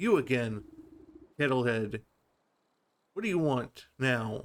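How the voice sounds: Using a put-on character voice, a man cackles at a fairly slow pace with a medium pitch.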